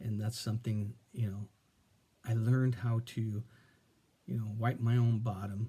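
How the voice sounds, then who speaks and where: The voice is dark, mellow and somewhat breathy. Its intonation stays monotone and flat. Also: man. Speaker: vlogger. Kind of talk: casual monologue. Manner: halting.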